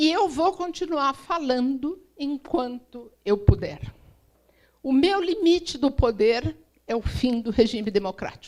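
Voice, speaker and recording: A woman's high-pitched voice, very slow in pace, with lively intonation. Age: 60s. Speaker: diplomat. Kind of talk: speech.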